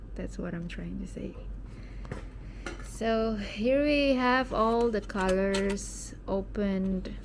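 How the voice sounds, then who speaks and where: Amid audible room echo, a woman speaks very slowly with long, frequent pauses and ordinary pitch variation. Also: medium pitch for a woman. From Indonesia. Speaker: art hobbyist YouTuber. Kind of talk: casual unboxing vlog chat. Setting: at home, late at night. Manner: hesitant, with fillers and self-corrections.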